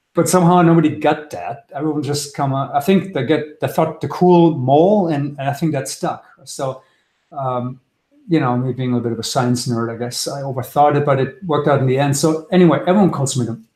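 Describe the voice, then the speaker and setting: Speaking with a German accent at a fairly quick pace, a man has a somewhat breathy, dark, mellow tone at a fairly high pitch with ordinary pitch variation. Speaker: trader. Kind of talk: webinar presentation. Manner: fast; halting.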